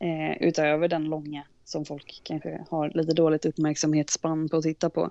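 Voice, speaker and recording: Over a quiet background, a woman speaks at a moderate pace with a very deep, low pitch. Her tone is dark and mellow, her intonation monotone and flat. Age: 30s. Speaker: wedding photographer and videographer. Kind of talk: casual interview.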